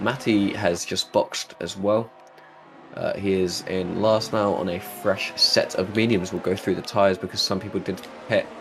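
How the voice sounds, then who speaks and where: A man with a fairly low voice talks at a moderate pace in a flat monotone, with noticeable background noise behind him. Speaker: sim racing commentator. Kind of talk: live commentary.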